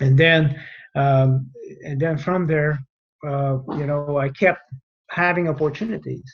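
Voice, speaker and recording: With a strong Quebec accent, a man speaks in a fairly high, somewhat breathy voice with fairly even intonation and long, frequent pauses. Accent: thick French Canadian. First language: French. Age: 50s. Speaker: retired air force general. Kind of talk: podcast interview. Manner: halting, many fillers.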